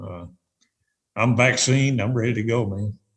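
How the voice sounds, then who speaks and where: A man speaks at a moderate pace, somewhat breathy. His pitch is fairly low and his intonation fairly even. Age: 60s. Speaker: retired tournament director. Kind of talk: podcast interview.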